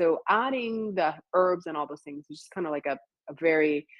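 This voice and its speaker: A woman with an ordinary speaking voice talks at a fairly low pitch with ordinary pitch variation. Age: 40s. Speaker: gut health coach. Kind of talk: interview.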